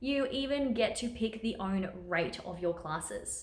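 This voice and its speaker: Somewhat breathy and fairly high in pitch, a woman with an Australian accent speaks amid audible room echo. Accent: Australian, sometimes taken for British. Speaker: online teacher and video creator. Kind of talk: tutorial vlog. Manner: upbeat, chatty.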